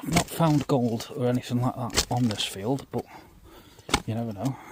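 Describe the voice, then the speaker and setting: Over noticeable background noise, a man whispers quietly at a moderate pace in an East Midlands accent. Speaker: metal detecting youtuber. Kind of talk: casual outdoor vlog commentary. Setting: outdoors in a field. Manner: quiet, half-whispered.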